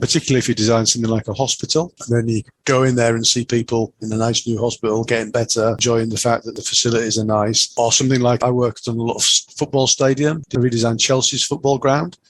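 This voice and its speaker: A man with a Yorkshire accent at a very fast pace and medium pitch, fairly even intonation, hardly any pauses, and a dry, close sound with no echo. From Yorkshire, northern England. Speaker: chartered engineer. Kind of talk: interview.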